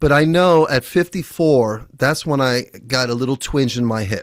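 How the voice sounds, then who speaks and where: On a very clean recording with a silent background, a man uses a normal speaking voice at a medium pitch, a moderate pace and ordinary pitch variation. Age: 60s. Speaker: podcast host and former jiu-jitsu instructor. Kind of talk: casual interview conversation.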